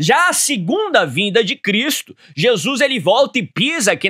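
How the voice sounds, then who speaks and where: A raised, projected voice with a bright, sharp tone at a moderate pace over a quiet background. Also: man. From Brazil. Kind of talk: Bible teaching program. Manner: formal. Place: studio. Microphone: studio mic.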